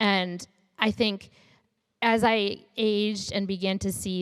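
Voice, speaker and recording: The speaker has a Michigan accent. Their intonation stays fairly even. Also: woman. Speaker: startup founder and CEO. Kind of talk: interview.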